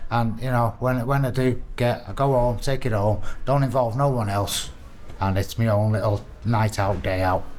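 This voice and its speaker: There is audible room echo as a man with a medium-pitched voice speaks at a moderate pace. His loudness stays very even and his intonation fairly even. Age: 60s. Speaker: prisoner in addiction recovery. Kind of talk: casual chat. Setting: prison recovery wing. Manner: halting.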